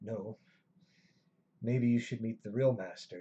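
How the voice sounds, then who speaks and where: A man's put-on character voice, raspy and medium in pitch, at a fairly slow pace. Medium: actual play. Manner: sinister, mocking.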